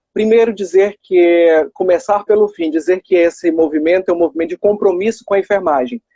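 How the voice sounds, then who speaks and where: The speaker talks at a fairly quick pace with hardly any pauses and ordinary pitch variation. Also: man, high pitch for a man. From Maranhão, northeastern Brazil. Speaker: nurse and election candidate. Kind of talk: live stream interview.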